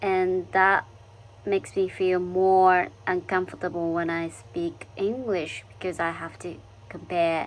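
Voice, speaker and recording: In a Japanese accent, a woman speaks at a very slow pace with monotone, flat intonation. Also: medium pitch for a woman. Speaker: international student vlogger. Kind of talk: casual vlog monologue. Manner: halting, many fillers.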